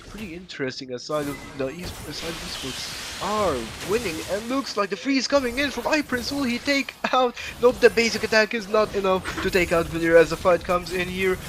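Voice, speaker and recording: The pace is fairly quick. Music is heard in the background. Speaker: esports caster. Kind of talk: live commentary. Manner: fast; halting.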